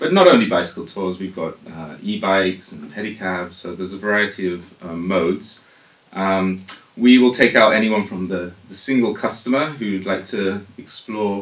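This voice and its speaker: A man with a British accent speaks at a moderate pace and fairly low pitch, with ordinary pitch variation, big swings in loudness and noticeable background noise. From United Kingdom. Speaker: tour company founder. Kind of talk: radio interview. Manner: hesitant, many fillers.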